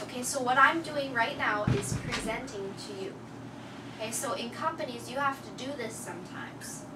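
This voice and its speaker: Amid audible room echo and noticeable background noise, a woman with a high pitch talks with ordinary pitch variation. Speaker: English teacher. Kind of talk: classroom lesson. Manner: loud; slow.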